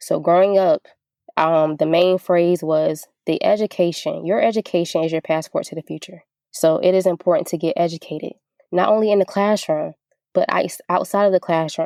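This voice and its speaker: A woman with an American accent speaks at a moderate pace with a dry, close sound and no echo. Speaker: restaurant owner. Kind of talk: interview. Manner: animated.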